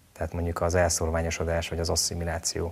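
The voice is a man's, with a very deep, low pitch. There is a somewhat breathy quality to it. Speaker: TV show maker, guest. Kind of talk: interview answers. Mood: calm, earnest. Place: studio. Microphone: lapel.

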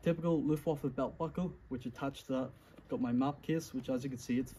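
A man speaks with a somewhat breathy voice and a dark, mellow tone. Light background noise sits behind him. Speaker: reenactor showing his kit. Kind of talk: casual explanatory show-and-tell. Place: garden. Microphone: phone near.

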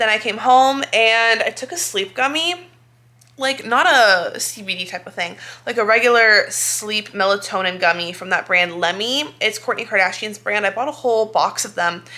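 A woman talks at a moderate pace with lively intonation and big swings in loudness. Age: 20s. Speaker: lifestyle vlogger. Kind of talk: casual vlog talk to camera. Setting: at home on couch. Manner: animated. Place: home room. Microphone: phone near.

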